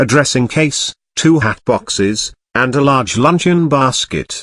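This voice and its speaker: A man speaks at a fairly slow pace in a cartoonish character voice, fairly high in pitch with ordinary variation, on a very clean recording with a silent background and a dry, close sound with no echo. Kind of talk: Victorian stage comedy. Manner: formal, deferential.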